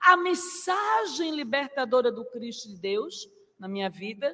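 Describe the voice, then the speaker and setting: Her voice is raised and projected. The woman speaks in a high pitch with lively intonation. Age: 50s. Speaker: spiritist lecturer. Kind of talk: religious lecture. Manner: formal.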